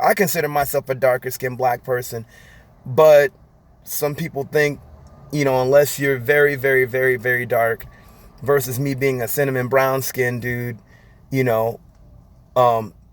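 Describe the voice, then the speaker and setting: A man's shaky, medium-pitched voice at a moderate pace, with fairly even intonation. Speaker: vlogger. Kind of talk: personal commentary monologue. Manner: halting, shaky.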